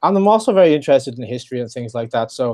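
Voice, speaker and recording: An Irish accent marks this man's dark, mellow voice, medium in pitch and recorded dry and close with no echo. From Ireland. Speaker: legal history expert, program manager. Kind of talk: interview.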